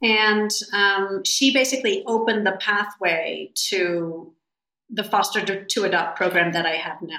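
A woman with an ordinary speaking voice, medium pitch, ordinary pitch variation and a fairly slow pace. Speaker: animal rescue founder. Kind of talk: interview conversation.

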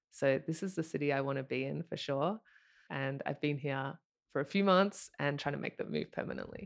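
With an Australian accent, a woman speaks at a fairly quick pace in a very deep, low voice with vocal fry and ordinary pitch variation against a quiet background. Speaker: former pro athlete and venture partner. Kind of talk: casual interview.

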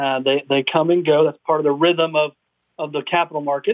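This man has an unremarkable speaking voice, pitched fairly high. His intonation stays fairly even. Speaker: investment company executive. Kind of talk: radio interview.

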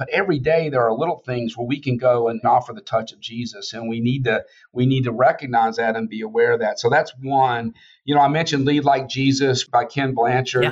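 With a Southern US accent, a man speaks at a medium pitch and a fairly quick pace. His intonation is fairly even. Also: big swings in loudness. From Georgia, US South. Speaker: biotech CEO. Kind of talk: casual interview conversation.

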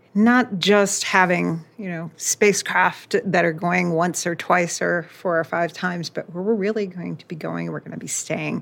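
In an ordinary speaking voice, a woman with an American accent talks at a fairly slow pace and a fairly low pitch, recorded very cleanly against a silent background. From US South, Florida. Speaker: engineering executive, panel moderator. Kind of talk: panel discussion.

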